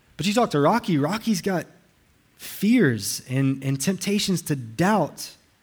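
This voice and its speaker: Speaking at a fairly slow pace, a man uses a high pitch with very wide pitch swings. The recording is very clean, with a silent background. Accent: Southern US. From US South, Alabama. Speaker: pastor. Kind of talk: sermon. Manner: halting, frequent repetitions.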